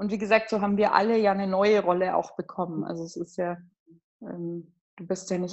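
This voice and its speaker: A woman's medium-pitched voice at a moderate pace with fairly even intonation. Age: 20s. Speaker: bereaved sibling. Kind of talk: personal testimony. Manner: halting.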